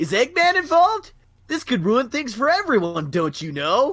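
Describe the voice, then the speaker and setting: A high-pitched, put-on character voice swings very widely in pitch at a moderate pace. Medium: game stream. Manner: shouting.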